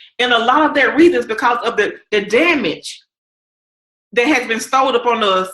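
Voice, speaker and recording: This woman speaks with a Southern accent at a fairly high pitch, her tone bright and sharp. Her delivery is animated, with lively intonation. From US South. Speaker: podcast host and coach. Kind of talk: interview wrap-up, motivational talk.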